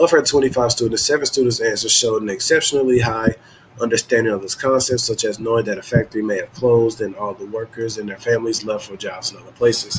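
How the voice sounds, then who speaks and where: A man's medium-pitched voice at a very fast pace, with big swings in loudness, fairly even intonation and noticeable background noise. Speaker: student presenting a tech demo. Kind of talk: reading aloud.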